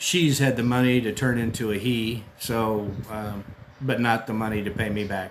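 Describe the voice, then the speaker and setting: A man's voice sits at a medium pitch with fairly even intonation. He talks at a fairly slow pace. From US. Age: 60s. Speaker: expat vlogger. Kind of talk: casual monologue. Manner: hesitant, many fillers.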